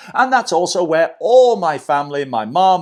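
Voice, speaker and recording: An enthusiastic man with a British accent and very wide pitch swings, against a quiet background. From UK. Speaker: watch reviewer, YouTuber. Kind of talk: product review.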